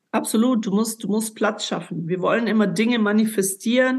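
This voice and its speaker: A woman with a fairly high, somewhat breathy voice talks at a fairly quick pace with fairly even intonation. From Ulm, southern Germany. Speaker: life coach and former world champion boxer. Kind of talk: podcast interview, personal testimony.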